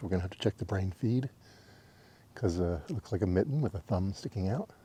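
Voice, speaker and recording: Speaking at a very fast pace, a man with a fairly low pitch has a dark, mellow tone that is somewhat breathy. His pitch varies in an ordinary way against a quiet background. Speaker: travel vlogger. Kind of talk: casual vlog narration. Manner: soft-spoken.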